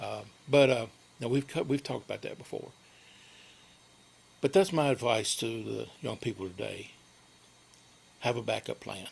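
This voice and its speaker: With a Tennessee accent, a man speaks with long, frequent pauses and big swings in loudness. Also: moderate pace. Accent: Tennessee Southern. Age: 60s. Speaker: local community guest. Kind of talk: radio interview. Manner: halting.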